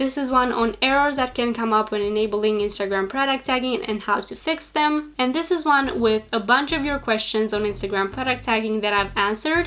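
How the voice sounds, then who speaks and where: Noticeable background noise sits behind a woman whose fairly high voice shows ordinary pitch variation. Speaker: social media business youtuber. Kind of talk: tutorial. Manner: fast talker.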